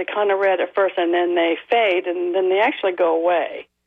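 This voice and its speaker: Her voice is an unremarkable speaking voice, as the woman talks at a medium pitch and a moderate pace. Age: 60s. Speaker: caller. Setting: phone call.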